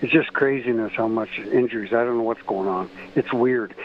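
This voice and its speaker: A man's mid-range voice stays fairly even in intonation while noticeable noise sits behind it. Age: 70s. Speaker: caller. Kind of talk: call-in radio chat. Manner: halting.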